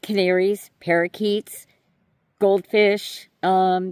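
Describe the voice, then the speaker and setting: A New York accent in a dry, close sound with no echo. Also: woman. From New York City. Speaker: YouTuber. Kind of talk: voice-over monologue. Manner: hesitant.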